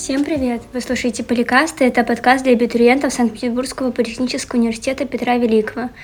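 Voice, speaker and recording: Noticeable background noise runs under a woman's high-pitched voice. She talks at a very fast pace with hardly any pauses and monotone, flat intonation. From Leningrad Oblast, Russia. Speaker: student podcast host. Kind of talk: casual chat.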